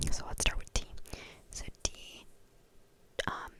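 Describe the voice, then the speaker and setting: The speaker whispers while noticeable background noise carries on. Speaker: student. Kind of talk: ASMR tutorial. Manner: whispered.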